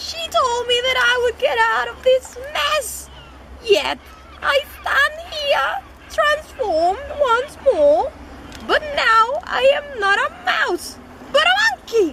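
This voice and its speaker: Over clear background noise, a female-sounding put-on character voice speaks very slowly at an extremely high pitch. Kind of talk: mock-Shakespearean acting. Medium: stage play.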